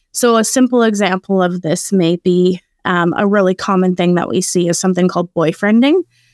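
A woman with a Canadian accent and a normal speaking voice, medium in pitch with ordinary pitch variation, at a fairly quick pace with hardly any pauses and very even loudness, dry and close with no echo in a very clean recording with a silent background. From Saskatchewan, Canada. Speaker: executive director of an anti-trafficking charity. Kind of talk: podcast interview.

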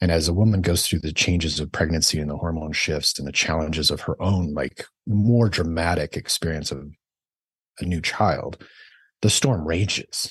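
Against a quiet background, a man with a very deep, low pitch and a somewhat breathy voice talks at a moderate pace with ordinary pitch variation. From Idaho, US. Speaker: physician. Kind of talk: interview.

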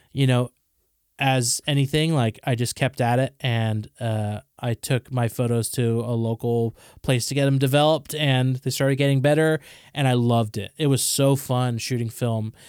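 A man's normal speaking voice at a medium pitch with fairly even intonation, dry and close with no echo, in a very clean recording over a silent background. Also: moderate pace. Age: 30s. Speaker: coffee shop co-founder. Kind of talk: casual chat.

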